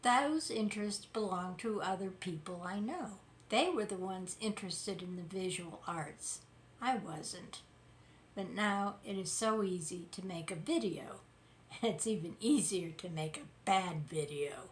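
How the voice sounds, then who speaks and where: A woman speaks at a fairly slow pace with medium pitch and ordinary pitch variation, and audible room echo surrounds her voice. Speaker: political commentary YouTuber. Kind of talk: casual commentary monologue.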